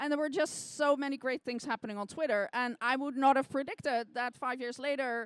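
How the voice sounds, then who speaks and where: A woman speaks with a non-native accent at a moderate pace. The sound is dry and close, with no echo. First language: not English. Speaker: scientist and science sleuth. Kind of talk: interview. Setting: stage with audience.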